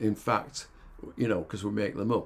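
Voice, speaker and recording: Here a man speaks with a Yorkshire accent. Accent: Yorkshire, clipped. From northern England, Yorkshire (Hull). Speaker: podcast host, life coach. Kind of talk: reflective monologue. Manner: halting, many fillers.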